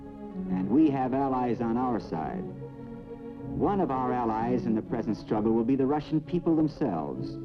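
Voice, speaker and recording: Over music in the background, the speaker moves at a moderate pace with very wide swings in pitch. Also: man, medium pitch for a man. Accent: American. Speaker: newsreel narrator. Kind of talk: Cold War newsreel narration. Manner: authoritative, emphatic.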